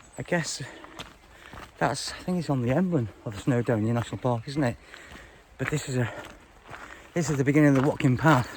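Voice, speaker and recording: Medium-pitched male voice at a fairly quick pace, ordinary pitch variation, long and frequent pauses, noticeable background noise. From Wales. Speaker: hiking vlogger. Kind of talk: casual vlog narration. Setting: outdoors on a mountain walk. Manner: hesitant, many fillers.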